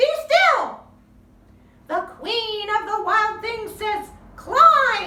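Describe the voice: A woman puts on a character voice at an extremely high pitch, with big pitch swings. She talks at a very slow pace in a bright, sharp tone.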